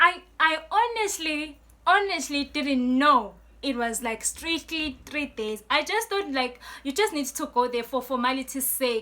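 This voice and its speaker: A woman's raised, projected, high voice, lively in intonation and fairly slow in pace. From Eswatini. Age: 20s. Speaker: student and poet YouTuber. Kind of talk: storytime vlog. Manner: casual, filler-heavy.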